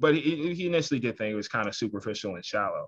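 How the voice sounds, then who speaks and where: Against a quiet background, a man with an American accent speaks at a fairly high pitch in a bright, sharp tone with lively intonation. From Washington, D.C. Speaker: author and journalist; author giving guest lecture. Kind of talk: lecture. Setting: video call. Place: home room. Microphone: video call.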